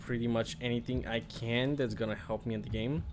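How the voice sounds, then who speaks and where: At a moderate pace, a man speaks at a medium pitch with a Bulgarian accent. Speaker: gaming streamer. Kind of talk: gameplay commentary. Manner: hesitant, many fillers.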